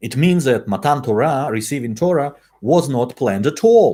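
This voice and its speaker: Somewhat breathy, a man with a Russian accent speaks at a moderate pace, his fairly high pitch moving in very wide swings. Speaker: Torah teacher. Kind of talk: lecture. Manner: halting.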